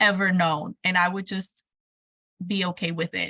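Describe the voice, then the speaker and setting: A woman's medium-pitched voice, bright and sharp in tone, comes at a moderate pace with a dry, close sound and no echo. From Mexico, raised there until 12, then California. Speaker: educator and entrepreneur. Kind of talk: interview. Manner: animated.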